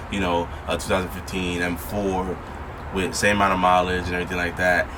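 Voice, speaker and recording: A man mumbles at a very fast pace. Noticeable background noise and audible room echo fill the recording. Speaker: car enthusiast vlogger. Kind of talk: casual unboxing vlog. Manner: rambling, mumbling.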